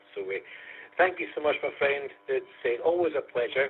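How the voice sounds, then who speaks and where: A man speaks with a Scottish accent. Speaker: amateur radio net controller. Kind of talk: radio net chat. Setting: amateur radio net via online conference.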